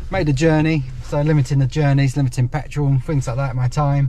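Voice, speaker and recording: At a fairly quick pace, a man speaks in a somewhat breathy voice with monotone, flat intonation. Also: dry sound with no echo. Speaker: online reseller vlogger. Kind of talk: casual vlog chat. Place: car. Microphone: phone near.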